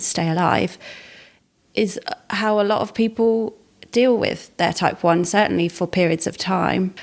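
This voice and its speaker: The recording is very clean, with a silent background. A woman talks at a moderate pace in an ordinary speaking voice, with ordinary pitch variation. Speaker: podcast host. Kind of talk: podcast conversation.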